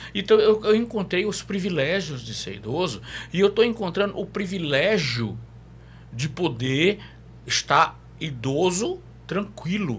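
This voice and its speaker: Fairly slow, high-pitched speech from a man, with very wide pitch swings and big swings in loudness. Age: 60s. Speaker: psychologist. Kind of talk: podcast interview.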